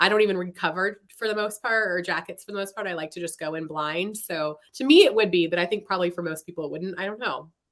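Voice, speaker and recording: Speaking at a very fast pace with hardly any pauses, a woman with an American accent shows big swings in loudness, a medium pitch and ordinary pitch variation. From US Pacific Northwest, Seattle area. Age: 40s. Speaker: novelist. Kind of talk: interview.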